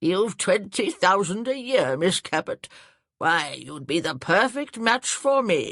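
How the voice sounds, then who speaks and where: Someone uses a put-on character voice that is gravelly and middle-pitched. The pace is fairly slow, over a quiet background. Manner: pompous, swaying flirtatious.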